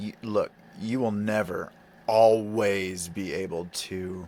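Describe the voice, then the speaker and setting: Very slowly, a man with an American accent speaks at a fairly low pitch. His intonation stays monotone and flat. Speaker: video blogger. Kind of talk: casual monologue. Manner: loud.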